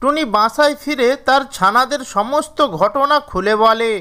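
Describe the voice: A woman speaks at a fairly slow pace with ordinary pitch variation. Her voice sits fairly high and has a bright, sharp tone.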